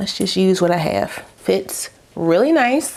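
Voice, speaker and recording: A woman speaks in an animated tone at a fairly slow pace. Background noise is noticeable. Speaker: beauty vlogger. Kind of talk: tutorial. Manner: casual, animated.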